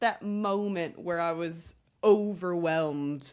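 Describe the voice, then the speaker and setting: On a very clean recording with a silent background, a woman in a British accent speaks at a very slow pace. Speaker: podcast host. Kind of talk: casual chat. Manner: animated.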